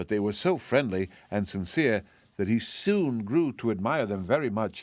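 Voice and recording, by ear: The intonation is lively as the text is read aloud in a natural voice.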